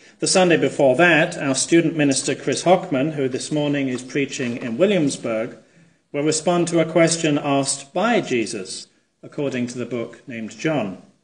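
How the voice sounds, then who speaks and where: Audible room echo surrounds a man with a fairly high voice. He speaks at a moderate pace with ordinary pitch variation. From England. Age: 40s. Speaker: minister. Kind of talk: sermon. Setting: church.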